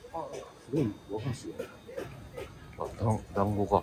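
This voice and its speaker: Medium pitch from a man, lively intonation and a moderate pace, with noticeable background noise. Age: 40s. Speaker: occult collector, ghost story collector. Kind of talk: casual talk while walking outdoors. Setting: outdoors, windy. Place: street. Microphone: phone near.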